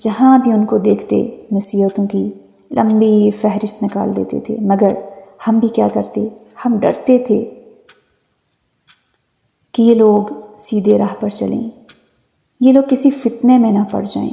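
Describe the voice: Slowly and with fairly even intonation, a woman speaks in a dark, mellow tone with vocal fry. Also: medium pitch for a woman.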